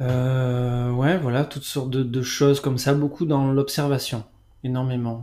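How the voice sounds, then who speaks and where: Monotone, flat intonation from a man, delivered at a fairly slow pace. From France, Bordeaux region. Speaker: gardener. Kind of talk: interview. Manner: halting.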